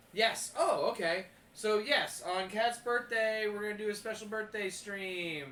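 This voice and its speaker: A man with a high pitch speaks at a fairly slow pace in a raised, projected voice. There is ordinary pitch variation and noticeable background noise. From moved around US as a kid, partly Pennsylvania. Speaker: streamer and punk rock musician hosting a game stream. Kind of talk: casual chat.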